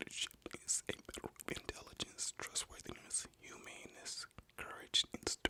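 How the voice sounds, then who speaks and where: A man whispers at a moderate pace. The sound is dry and close with no echo, over noticeable background noise. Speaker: ASMR creator and host. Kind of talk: ASMR whisper reading of a book. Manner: whispered, soft-spoken.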